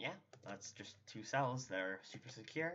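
Quiet, mumbling speech comes at a moderate pace. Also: man. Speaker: Minecraft tutorial YouTuber. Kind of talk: casual gaming tutorial narration. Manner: quiet, somewhat mumbling.

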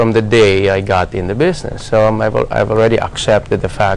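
Over light background noise, a man speaks at a fairly quick pace and a fairly low pitch. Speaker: interview guest. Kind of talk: interview answer. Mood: reflective, slightly amused. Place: studio.

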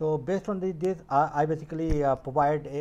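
A man with a dark, mellow tone speaks at a moderate pace, his pitch varying in an ordinary way. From India. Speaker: YouTuber and medical scientist. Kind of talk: informational video talk; casual advice talk to camera. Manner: halting with many fillers. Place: home room. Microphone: earbuds.

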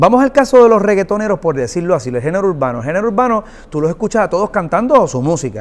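Speaking at a very fast pace, a man with a high voice makes very wide pitch swings. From Puerto Rico. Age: 40s. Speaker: singer-songwriter and producer; guest. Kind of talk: interview. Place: studio.

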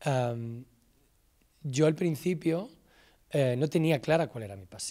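Against a quiet background, a man with a Castilian accent speaks in a dark, mellow tone. His pitch variation is ordinary. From Spain, Salamanca; Spain. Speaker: film director and screenwriter. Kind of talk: talk to students. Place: stage. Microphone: handheld.

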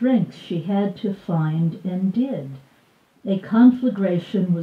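The speaker is heard reading aloud in a natural voice.

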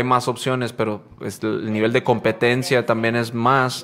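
At a fairly slow pace, a man delivers his words at a medium pitch in a monotone, flat intonation. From Guaymas, Sonora, Mexico (childhood years in Las Vegas). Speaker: popping dancer and podcast host. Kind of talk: casual chat. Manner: halting, many fillers.

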